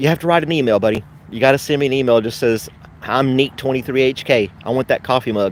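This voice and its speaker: A man with a slight Southern US accent, medium-pitched with ordinary pitch variation, at a very fast pace over noticeable background noise. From US South, western Tennessee. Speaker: YouTuber and postal worker. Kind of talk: casual live stream chat. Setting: live stream. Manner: fast, sometimes slips on words.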